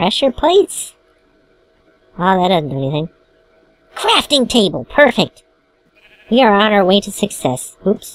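With long, frequent pauses, the speaker uses a put-on character voice at a fairly high pitch. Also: moderate pace. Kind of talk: comedic let's play commentary. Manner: cartoonish.

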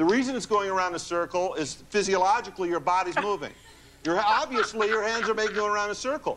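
A man talks at a very fast pace with a high pitch. His pitch varies in an ordinary way. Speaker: hypnotist and author. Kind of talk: talk show interview. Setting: TV studio with audience. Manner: conversational, explaining.

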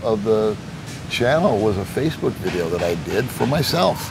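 Against noticeable background noise, a man with an American accent talks at a moderate pace. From United States. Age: 60s. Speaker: retired expat YouTuber; interview guest, video channel host. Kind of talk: interview conversation. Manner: humorous, entertaining. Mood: relaxed, reflective storytelling. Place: garden. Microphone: lapel.

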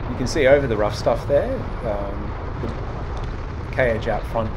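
A man speaks over loud background noise. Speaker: cycling vlogger. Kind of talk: commentary over footage.

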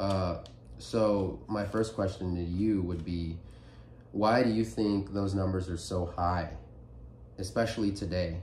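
A man with a very deep, low pitch and a somewhat breathy voice speaks at a fairly slow pace with long, frequent pauses, light background noise and audible room echo. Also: ordinary pitch variation. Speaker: podcast host. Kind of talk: casual chat. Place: home room. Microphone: phone near.

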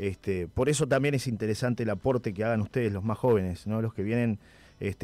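A man's fairly low voice with ordinary pitch variation. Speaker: radio host. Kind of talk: radio interview; reading listener messages. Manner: halting, with repeated words.

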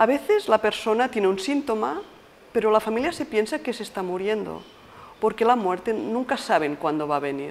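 A woman with a fairly high pitch talks at a moderate pace, her pitch swinging very widely over light background noise. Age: 50s. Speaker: palliative care nurse. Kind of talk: interview monologue; interview answer. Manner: halting. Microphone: lapel.

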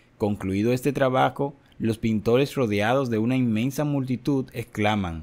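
In a dramatic, solemn tone, a man speaks fairly slowly at medium pitch. The recording is very clean, with a silent background. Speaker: narrator reading a book aloud. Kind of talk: scripted narration, audiobook reading of a religious history. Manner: dramatic, solemn, measured narration that builds tension; formal, even-paced.

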